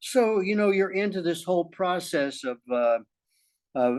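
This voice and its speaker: A man with a fairly high pitch makes very wide pitch swings. The background is quiet. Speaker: podcast co-host. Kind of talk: casual chat. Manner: halting, stuttering at times.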